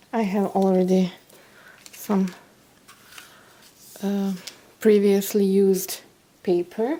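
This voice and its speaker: Over noticeable background noise, a woman with a non-native accent talks very slowly at a medium pitch, with fairly even intonation and long, frequent pauses. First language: not English. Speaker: card-making crafter. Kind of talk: craft tutorial. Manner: halting, with fillers.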